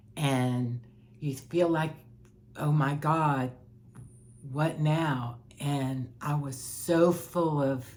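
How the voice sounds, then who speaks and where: A woman's very deep, low voice at a very slow pace, fairly even intonation, audible room echo. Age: 60s. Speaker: life coach vlogger sharing personal experience. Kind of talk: personal testimony monologue. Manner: halting with repetitions.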